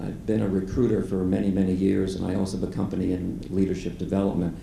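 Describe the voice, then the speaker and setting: A man talks at a fairly quick pace in a very deep, low pitch. Audible room echo surrounds his voice. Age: 70s. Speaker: volunteer career coach. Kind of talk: audience Q&A at event.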